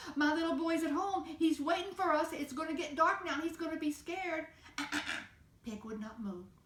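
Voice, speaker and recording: A woman talks at a fairly quick pace in an extremely high pitch, with ordinary pitch variation. Room echo is audible. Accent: American. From southern Indiana, US. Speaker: storyteller. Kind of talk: storytelling. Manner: animated, sound effects.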